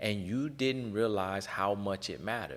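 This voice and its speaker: A man with an American accent sounds animated at a fairly slow pace, recorded very cleanly against a silent background. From US South, Polk County, Florida. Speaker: podcast host. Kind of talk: podcast introduction monologue.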